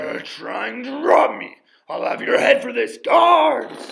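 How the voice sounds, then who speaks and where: A man's voice sits at an extremely high pitch as he talks at a fairly slow pace. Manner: outraged, threatening.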